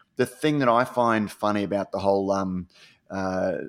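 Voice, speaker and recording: A man with an Australian accent, a fairly low pitch and fairly even intonation, at a fairly slow pace. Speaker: podcast co-host. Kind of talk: casual chat. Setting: online call recording.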